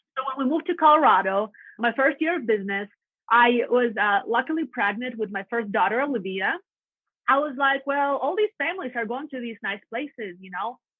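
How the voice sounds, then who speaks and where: In a Russian accent, a woman speaks fairly quickly at a high pitch, with lively intonation and big swings in loudness. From Latvia. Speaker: real estate agent. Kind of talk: podcast interview. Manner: animated.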